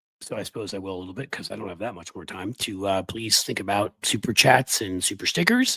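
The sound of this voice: A man puts on a raspy character voice at a fairly low pitch. He races along at a very fast pace.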